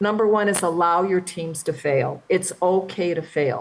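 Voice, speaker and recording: Her pitch fairly low, a woman speaks with ordinary variation in pitch. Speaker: physician leadership speaker. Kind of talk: lecture. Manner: fast.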